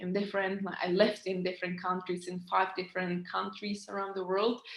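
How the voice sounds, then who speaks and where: In a Czech accent, a woman speaks at a medium pitch with monotone, flat intonation. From Czech Republic. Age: 30s. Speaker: business coach. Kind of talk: online training webinar. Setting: recorded online meeting. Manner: halting, many fillers.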